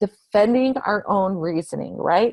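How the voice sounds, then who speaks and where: Here is a woman with a fairly high pitch and lively intonation. She has an unremarkable speaking voice, heard in a dry, close sound with no echo. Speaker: state education official presenting a webinar. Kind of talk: recorded instructional webinar presentation.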